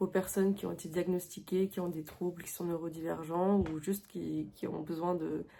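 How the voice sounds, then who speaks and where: At a moderate pace, a woman speaks with a fairly low pitch, a dark, mellow tone and fairly even intonation. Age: 20s. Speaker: illustrator and video creator. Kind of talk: casual tutorial vlog. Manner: hesitant, many fillers.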